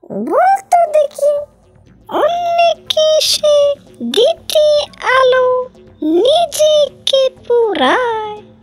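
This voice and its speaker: A female-sounding, cartoonish character voice speaks at a very slow pace over music in the background. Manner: cackling, menacing.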